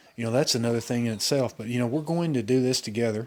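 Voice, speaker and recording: A man with an Alabama accent speaks at a medium pitch. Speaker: car enthusiast vlogger. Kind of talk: casual vlog walkthrough. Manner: casual, hesitant with fillers.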